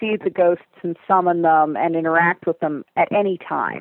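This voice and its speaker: With an American accent, a woman talks at a moderate pace in a plain, everyday voice of medium pitch and ordinary pitch variation. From US, near Lake Erie. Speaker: fantasy author. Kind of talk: interview.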